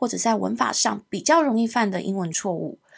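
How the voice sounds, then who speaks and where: This is a very clean recording with a silent background. The speaker's intonation is lively. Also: woman. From Hong Kong. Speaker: English teacher and podcast host. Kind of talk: podcast self-introduction.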